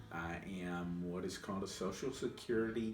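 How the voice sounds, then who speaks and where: With music in the background, a man speaks with an American accent in a very deep, low voice. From Louisville, Kentucky, USA. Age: 50s. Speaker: person who stutters, former attorney. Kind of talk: interview answer.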